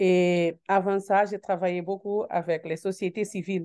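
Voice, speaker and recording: A woman with a Portuguese accent speaks very slowly in a dark, mellow tone and a monotone, flat intonation against a quiet background. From Cape Verde. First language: Portuguese (speaking French). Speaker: member of parliament. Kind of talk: panel discussion. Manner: halting.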